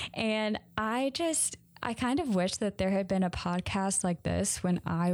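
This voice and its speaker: A woman speaks with a Southern US accent and ordinary pitch variation. The recording is very clean, with a silent background. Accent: Southern American. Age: 20s. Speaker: podcaster. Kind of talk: casual monologue.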